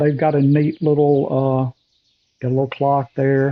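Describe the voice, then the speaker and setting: In a Southern US accent, a man with a fairly high pitch talks at a moderate pace with monotone, flat intonation. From US South. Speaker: golf course designer. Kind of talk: screen-recorded walkthrough tutorial. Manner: casual, hesitant with fillers.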